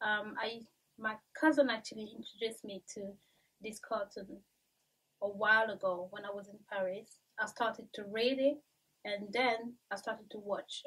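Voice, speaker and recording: A woman with a French accent and fairly even intonation. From Central African Republic and France, of Cameroonian family. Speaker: YouTuber. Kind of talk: vlog monologue. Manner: casual with frequent fillers. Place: home room.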